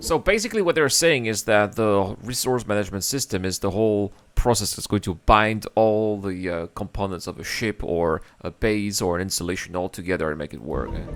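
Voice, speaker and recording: A man with a French accent speaks at a fairly quick pace with hardly any pauses, in a fairly low pitch with ordinary pitch variation, on a very clean recording with a silent background. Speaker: gaming reaction youtuber. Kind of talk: reaction commentary. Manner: animated.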